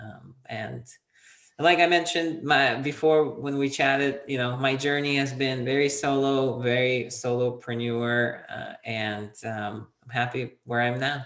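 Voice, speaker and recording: A man with a plain, everyday voice, medium pitch and a fairly slow pace. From Soviet Union, half raised in US. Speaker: entrepreneur, PR consultant. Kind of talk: interview.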